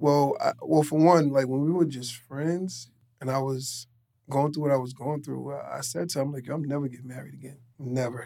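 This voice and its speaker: Speaking at a fairly quick pace in a New York accent, a man keeps a medium pitch and fairly even intonation. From New York City (Queens). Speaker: fashion retail worker and clothing line owner. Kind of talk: casual chat.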